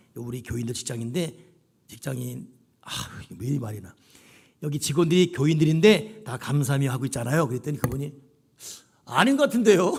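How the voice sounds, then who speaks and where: Somewhat breathy and animated in tone, a man talks at a fairly quick pace with lively intonation, big swings in loudness and long, frequent pauses. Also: fairly high pitch for a man. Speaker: pastor. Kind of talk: sermon.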